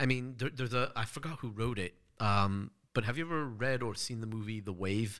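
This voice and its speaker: With an American accent, a man speaks fairly quickly in an ordinary speaking voice, his pitch medium and its variation ordinary. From Los Angeles, California. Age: 30s. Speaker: gun rights advocate and author. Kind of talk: casual chat.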